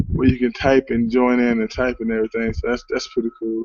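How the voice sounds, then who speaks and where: Here a man speaks at a medium pitch. Noticeable background noise runs under him. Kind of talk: solo livestream talk. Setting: Google Hangout livestream. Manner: loud; halting, many fillers.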